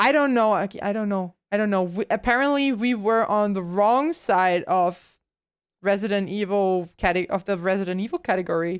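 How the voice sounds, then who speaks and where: Woman with ordinary pitch variation on a very clean recording with a silent background. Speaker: VTuber streamer. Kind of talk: live gaming stream chat. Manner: quiet.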